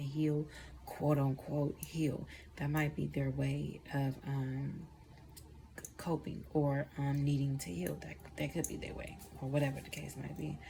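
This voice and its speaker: A somewhat breathy woman's voice, very deep and low in pitch, at a moderate pace. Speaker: tarot reader. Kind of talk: tarot reading. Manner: casual, profane.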